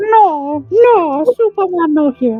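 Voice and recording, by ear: A female-sounding voice in a put-on character style. The pitch is extremely high for a woman.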